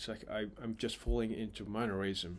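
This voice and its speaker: In a non-native accent, a man of medium pitch speaks at a moderate pace on a very clean recording with a silent background. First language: not English. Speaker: vlogger practicing English. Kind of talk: casual monologue vlog. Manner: halting, repeating words.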